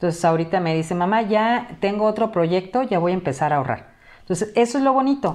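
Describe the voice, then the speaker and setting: Against a quiet background, a woman of medium pitch talks at a fairly quick pace with lively intonation. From Mexico (Acapulco, Guerrero); Guerrero, Mexico. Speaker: teacher and academic tutoring director; teacher, academic tutoring director. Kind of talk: interview. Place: home room. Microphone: headset.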